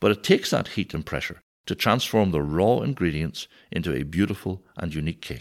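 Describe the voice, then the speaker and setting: A man's very deep, low voice with vocal fry in a Northern Irish accent, very wide pitch swings and a moderate pace on a very clean recording with a silent background. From Northern Ireland. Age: 50s. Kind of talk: conversational teaching.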